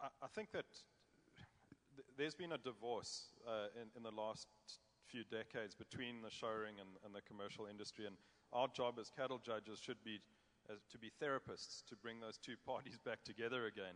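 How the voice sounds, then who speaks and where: A man with a South African accent, medium pitch, fairly even intonation and a fairly quick pace. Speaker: cattle judge. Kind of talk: panel discussion.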